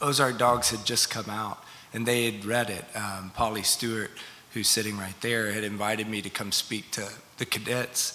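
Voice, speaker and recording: Noticeable background noise sits behind a man speaking at a moderate pace with a Southern US accent. His pitch is fairly low and his intonation flat and monotone. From Arkansas (Delta and River Valley). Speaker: novelist. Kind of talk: panel interview with audience.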